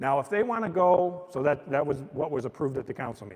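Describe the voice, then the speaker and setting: An unremarkable speaking voice from a man with an American accent, fairly high in pitch, fairly quick, with lively intonation. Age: 60s. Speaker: mayor. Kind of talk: public talk explaining city business. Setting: old courtroom with live audience, streamed. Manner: casual and conversational.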